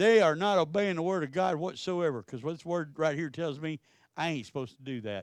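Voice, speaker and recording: With a Texan accent, a man speaks at a fairly quick pace against a quiet background, the sound dry and close with no echo. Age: 60s. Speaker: pastor. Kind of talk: sermon.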